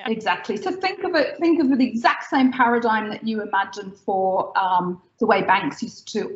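Talking at a moderate pace with hardly any pauses, a woman with an Australian accent has a fairly high, somewhat breathy voice and very wide pitch swings, with audible room echo. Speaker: tech company founder. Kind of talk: interview. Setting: video call. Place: home room. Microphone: video call.

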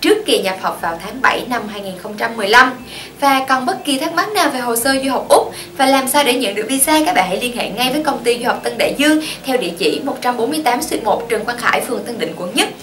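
Speaking at a fairly quick pace amid noticeable background noise, a woman uses a high pitch with very wide pitch swings. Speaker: study-abroad consultancy presenter. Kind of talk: informational presentation.

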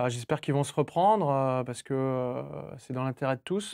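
A man of medium pitch talks at a moderate pace with ordinary pitch variation against a quiet background. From western France, Cholet; France. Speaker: football coach. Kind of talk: casual chat. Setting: studio. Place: studio. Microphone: lapel.

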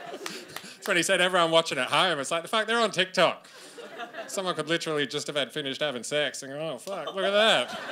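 A man with a high pitch and ordinary pitch variation talks at a very fast pace against light background noise. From Australia. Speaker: stand-up comedian. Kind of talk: stand-up comedy set. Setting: live comedy stage. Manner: casual, conversational. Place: stage. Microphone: handheld.

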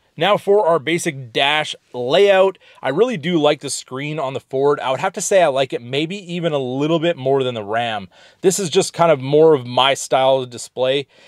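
In a very clean recording with a silent background and a dry, close sound with no echo, a man uses a normal speaking voice, fairly high in pitch with ordinary pitch variation, at a moderate pace. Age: 30s. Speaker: automotive YouTuber. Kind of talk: vehicle review walkaround. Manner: casual, conversational.

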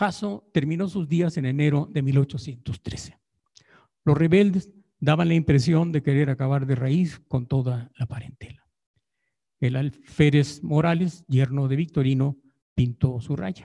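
A man talks at a fairly slow pace with a fairly high pitch, a somewhat breathy quality and a dark, mellow tone. His pitch varies in an ordinary way against a quiet background. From Jiquilpan, Michoacán, Mexico; Michoacán, Mexico. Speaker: historian researcher. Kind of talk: paper reading. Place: hall.

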